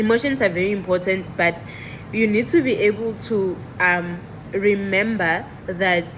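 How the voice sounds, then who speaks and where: Noticeable background noise around a woman's voice of medium pitch. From South Africa. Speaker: medical technologist and vlogger. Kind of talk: casual vlog monologue. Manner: loud; bubbly, animated.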